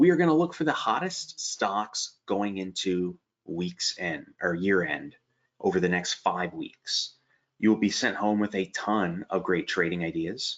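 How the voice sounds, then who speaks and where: Speaking at a moderate pace with an American accent, a man uses a fairly low pitch that swings very widely. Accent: slight Pennsylvania Dutch. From Pennsylvania Dutch country, Allentown area. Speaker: stock trading educator. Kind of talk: webinar presentation. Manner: casual, chatty.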